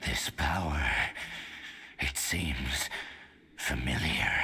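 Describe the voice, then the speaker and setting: In a put-on character voice, the speaker talks at a very slow pace with a very deep, low pitch. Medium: game stream. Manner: imperious, menacing.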